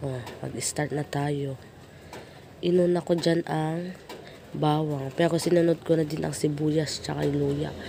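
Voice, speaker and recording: The delivery is fairly slow and monotone, flat in intonation, with long, frequent pauses. Noticeable background noise runs underneath. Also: woman, very deep, low pitch for a woman. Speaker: cooking vlogger. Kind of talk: voice-over narration. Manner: playful, self-teasing.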